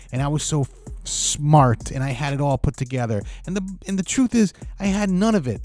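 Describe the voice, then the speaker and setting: His pitch is fairly high, and it swings very widely. The man talks at a fairly quick pace over noticeable background noise. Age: 50s. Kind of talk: casual talk to camera. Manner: comical, ranting.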